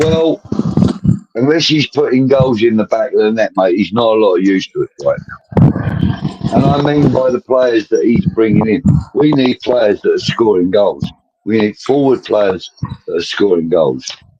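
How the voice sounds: With lively intonation and a slightly husky edge, this man speaks at a moderate pace in a fairly low pitch.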